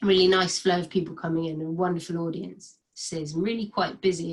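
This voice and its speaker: A woman speaks at a medium pitch, somewhat breathy. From Cornwall, England. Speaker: spoken word performance artist, poet. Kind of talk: casual talk to camera introducing a poem.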